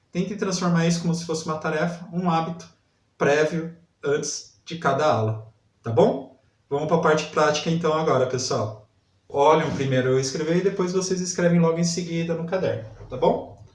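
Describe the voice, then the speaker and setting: A man talks at a high pitch and a moderate pace with ordinary pitch variation. Room echo is audible. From interior of São Paulo state, Brazil. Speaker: literacy teacher. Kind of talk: lesson. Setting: online video class.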